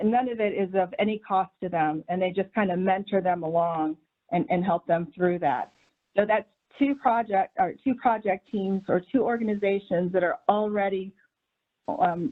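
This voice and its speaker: In an unremarkable speaking voice, a woman talks at a moderate pace and medium pitch with ordinary pitch variation. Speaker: program organizer. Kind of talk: presentation.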